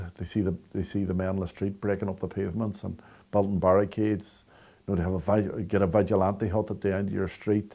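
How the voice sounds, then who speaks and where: On a very clean recording with a silent background, a man with a Northern Irish accent speaks very fast at a fairly low pitch, his tone dark and mellow and his intonation monotone and flat. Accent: Derry Northern Irish. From Derry, Northern Ireland. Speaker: storyteller. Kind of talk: interview answer.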